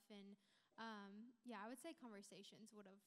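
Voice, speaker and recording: A woman with an American accent uses an ordinary speaking voice at medium pitch. Her pace is moderate and her intonation fairly even. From Texas. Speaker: church member. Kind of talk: panel discussion. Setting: church.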